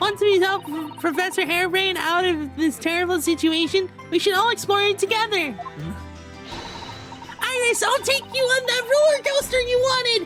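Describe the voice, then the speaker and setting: Against clear background music, a woman performs a put-on character voice at an extremely high pitch and a moderate pace. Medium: actual play.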